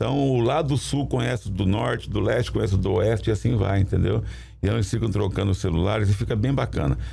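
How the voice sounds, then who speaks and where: Over music in the background, a man talks at a very fast pace with lively intonation. His voice sits fairly low. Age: 60s. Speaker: municipal sports secretary. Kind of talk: studio interview. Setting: studio. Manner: halting, with repetitions.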